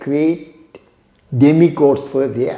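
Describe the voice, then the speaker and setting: A man speaks at a very slow pace in a Tamil accent. Audible room echo surrounds his voice. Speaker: yoga teacher. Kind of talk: storytelling lecture.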